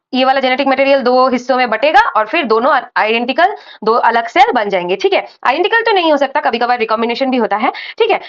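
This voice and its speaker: A woman's high voice carries lively intonation as she talks at a moderate pace. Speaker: medical student teaching microbiology. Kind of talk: lecture. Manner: hesitant, with fillers.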